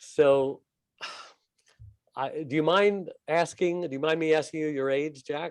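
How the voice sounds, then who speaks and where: With a fairly high pitch and fairly even intonation, a man talks at a fairly slow pace, leaving long, frequent pauses. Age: 60s. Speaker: co-host. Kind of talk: interview.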